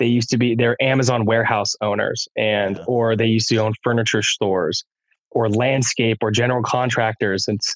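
At a fairly quick pace, a man speaks in a monotone, flat intonation with very even loudness and a dry, close sound with no echo. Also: medium pitch for a man. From California. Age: 30s. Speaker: music producer and DJ. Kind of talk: casual chat. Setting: at home, remote call.

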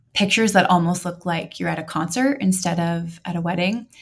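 The voice is somewhat breathy, with an American accent and fairly even intonation. The recording is very clean, with a silent background. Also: woman. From Montana, US. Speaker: bride-to-be. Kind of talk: casual chat.

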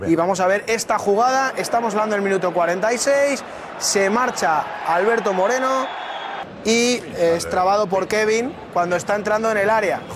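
An animated man's voice, high-pitched, with ordinary pitch variation and noticeable background noise. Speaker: football analyst. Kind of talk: sports commentary, analyzing refereeing. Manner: fast, emphatic, repetitive.

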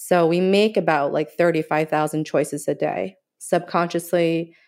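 On a very clean recording with a silent background, a woman with a Mandarin accent speaks at a fairly low pitch, a fairly slow pace and fairly even intonation. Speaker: acupuncturist and Chinese medicine doctor. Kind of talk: interview.

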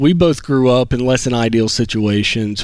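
A man speaks with a Southern US accent. His pitch is medium and his pace is moderate. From Alabama, US South. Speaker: guest who paid off debt. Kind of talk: interview. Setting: studio lobby stage.

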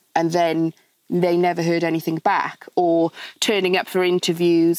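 Speaking with a Welsh accent, a woman with a fairly low pitch talks at a fairly slow pace with fairly even intonation, in a very clean recording with a silent background. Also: dry, close sound with no echo. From Wales. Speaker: charity founder and interior designer. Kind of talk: casual interview.

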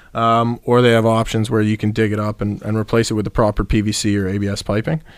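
Here a man speaks at a fairly quick pace with a fairly low pitch and a normal speaking voice. The recording is very clean, with a silent background. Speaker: plumber. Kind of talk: radio interview. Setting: radio studio.

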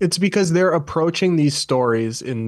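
Speaking with lively intonation at a moderate pace, a man has an unremarkable speaking voice. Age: 20s. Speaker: journalist and podcaster. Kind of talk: panel discussion.

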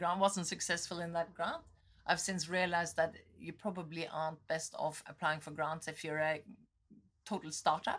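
A woman talks at a moderate pace in a fairly low pitch. Her intonation is monotone and flat, with long, frequent pauses. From Norway. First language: Norwegian. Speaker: tech entrepreneur. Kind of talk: interview.

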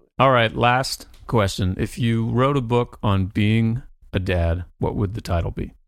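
This man has a normal speaking voice at medium pitch, with ordinary pitch variation. He talks at a fairly slow pace on a very clean recording with a silent background. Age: 40s. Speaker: podcast co-host. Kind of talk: casual interview.

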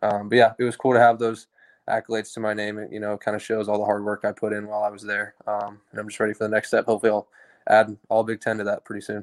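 A man with an American accent speaks very fast at a fairly low pitch, in a flat monotone. The recording is very clean with a silent background and a dry, close sound with no echo. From Oklahoma (Tulsa). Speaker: college football kicker. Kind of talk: interview.

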